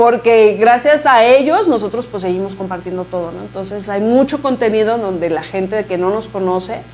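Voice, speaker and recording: With a normal speaking voice, a woman talks at a moderate pace with hardly any pauses, her fairly high pitch shifting by ordinary amounts while her loudness swings widely. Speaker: mariachi musician. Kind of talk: interview.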